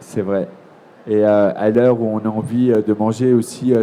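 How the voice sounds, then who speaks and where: A man speaks in a dark, mellow tone. His pace is moderate and his pitch variation ordinary. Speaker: TV presenter. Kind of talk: live interview at a trade fair. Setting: trade fair, live broadcast.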